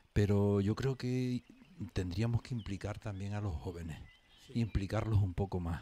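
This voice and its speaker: A man's fairly low, dark and mellow voice at a moderate pace, with ordinary pitch variation and light background noise. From Canary Islands, Los Realejos (Tenerife); Canary Islands. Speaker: local traditions commentator. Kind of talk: casual radio panel chat. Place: studio.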